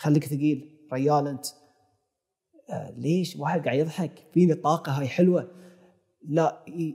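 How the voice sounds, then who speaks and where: Against a quiet background, a man with a Bahraini accent speaks at a moderate pace in a dark, mellow, somewhat breathy tone, with fairly even intonation and long, frequent pauses. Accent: Bahraini Gulf Arabic. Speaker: filmmaker and YouTube content creator; YouTube content creator. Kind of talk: interview conversation. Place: studio. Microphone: lapel.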